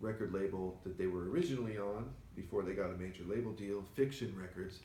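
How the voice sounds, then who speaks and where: The speaker is somewhat breathy, keeping a moderate pace and ordinary pitch variation amid audible room echo. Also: man. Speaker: record store owner and show host. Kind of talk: casual chat. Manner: soft-spoken, doesn't project.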